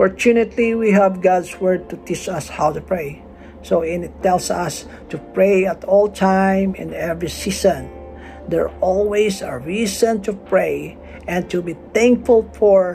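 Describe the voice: A man speaks with a high pitch, vocal fry and a slightly mellow tone, his pitch varying in an ordinary way. The pace is fairly slow, with faint music in the background.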